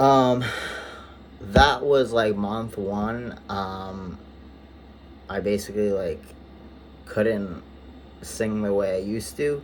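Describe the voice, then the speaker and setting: A man speaks at a very slow pace, his pitch fairly low with ordinary variation. Audible room echo surrounds his voice. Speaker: vlogger. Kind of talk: personal vlog update. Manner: many filler words, halting.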